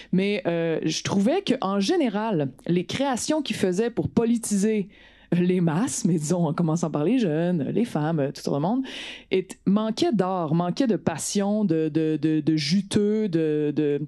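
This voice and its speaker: A woman with a Quebec accent speaks very slowly, her medium-pitched voice dark and mellow with lively intonation and very even loudness. The recording is very clean, with a silent background. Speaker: politician and actress. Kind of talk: talk to an audience.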